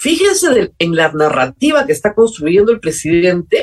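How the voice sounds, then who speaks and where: A woman's voice at a fairly slow pace, with very wide swings in pitch. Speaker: political talk show host. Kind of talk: political commentary monologue.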